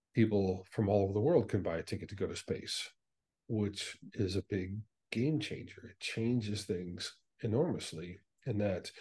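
A man with a fairly low pitch and a dark, mellow, somewhat breathy tone. He speaks at a moderate pace with ordinary pitch variation and big swings in loudness. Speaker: guest. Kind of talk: interview answer. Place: home room. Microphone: video call.

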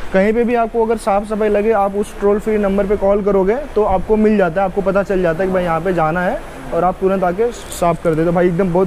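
Speaking in a high pitch for a man, he keeps a moderate pace with hardly any pauses and fairly even intonation. His loudness stays very even over light background noise. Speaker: travel vlogger. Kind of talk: casual vlog chat. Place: train. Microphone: phone near.

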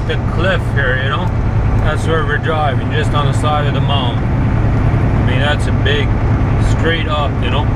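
A man speaks at a moderate pace. Heavy background noise is loud throughout. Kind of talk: casual vlog chat. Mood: relaxed, admiring. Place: car. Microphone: camera far.

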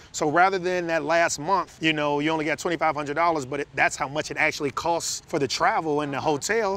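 Bright and sharp in tone, a man with an American accent speaks at a fairly high pitch with fairly even intonation and hardly any pauses. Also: moderate pace, dry sound with no echo. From Chicago, South Side; Chicago. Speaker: financial educator, co-host. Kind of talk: casual advice chat. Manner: conversational.

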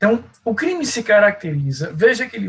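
This man has a high-pitched voice. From Brazil. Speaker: law professor; law lecturer. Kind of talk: online lecture. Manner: halting, with frequent fillers. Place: home room. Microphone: earbuds.

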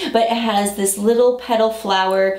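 A woman speaks with ordinary pitch variation. Audible room echo is present. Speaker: style vlogger. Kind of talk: casual haul chat. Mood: cheerful, enthusiastic. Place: home room.

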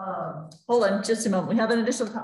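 A woman's voice in strong room echo. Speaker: library program moderator. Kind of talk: Q&A moderation. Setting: video call. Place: hall.

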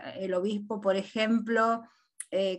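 A woman with an Argentine accent speaks at a very slow pace. Her intonation is fairly even, over a quiet background. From Argentina, Catamarca; Argentina. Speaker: audience participant. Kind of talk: question from audience. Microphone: video call.

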